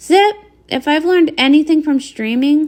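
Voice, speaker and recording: In a squeaky, put-on character voice pitched high, a woman speaks at a moderate pace. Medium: read story. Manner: bright, breezy.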